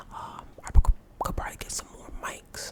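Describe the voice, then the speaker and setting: A man whispers in a relaxed tone at a moderate pace, with noticeable background noise behind him. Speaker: ASMR artist. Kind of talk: whispered Q&A to camera. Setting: home recording. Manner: whispered, relaxed.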